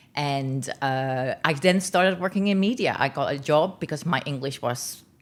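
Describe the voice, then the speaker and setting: A woman speaks at a moderate pace in a very deep, low voice, with ordinary pitch variation. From Netherlands. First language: Dutch. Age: 50s. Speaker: media executive and founder. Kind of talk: podcast interview. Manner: many filler ums and uhs.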